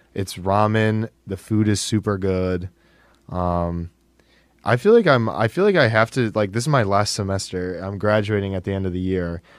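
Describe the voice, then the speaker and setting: At a moderate pace, a man with an unremarkable speaking voice talks at a fairly low pitch and fairly even intonation. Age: 20s. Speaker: college student and student radio technical director. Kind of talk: casual chat. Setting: studio.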